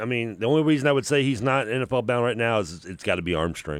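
A man with a normal speaking voice, medium in pitch and lively in intonation, is heard on a very clean recording with a silent background. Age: 40s. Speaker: sports radio co-host. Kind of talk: sports talk radio chat. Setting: radio studio.

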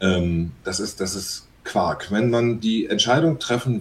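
A fairly low-pitched man speaks at a fairly slow pace. His voice is somewhat breathy, and his intonation is lively. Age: 40s. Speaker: musician. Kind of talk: casual chat.

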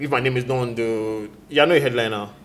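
A man with a medium-pitched voice talks at a moderate pace with fairly even intonation, and the room echo is audible. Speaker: music reviewer. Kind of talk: casual chat. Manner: halting.

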